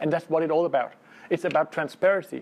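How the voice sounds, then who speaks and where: This is a man speaking. He talks with a Danish accent. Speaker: lawyer. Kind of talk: conference presentation. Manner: halting, many fillers.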